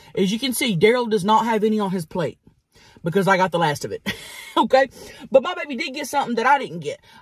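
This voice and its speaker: A woman's very fast speech with vocal fry, in a dry sound with no echo against a quiet background. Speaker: mukbang host. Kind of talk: casual vlog chat. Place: car.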